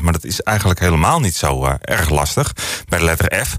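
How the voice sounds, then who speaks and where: The talking moves at a very fast pace. Noticeable background noise can be heard. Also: man. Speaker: radio DJ. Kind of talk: radio music show presenting. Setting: studio. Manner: casual, frequent filler hesitations.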